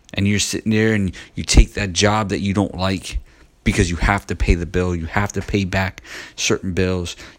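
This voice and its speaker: This man has a very deep, low pitch. He keeps his intonation fairly even. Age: 40s. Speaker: faith-based self-help podcaster. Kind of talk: motivational Bible teaching monologue. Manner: conversational, repetitive.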